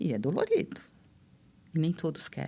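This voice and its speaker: There is vocal fry in this woman's voice. She talks at a moderate pace. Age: 60s. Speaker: therapist. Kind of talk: casual chat.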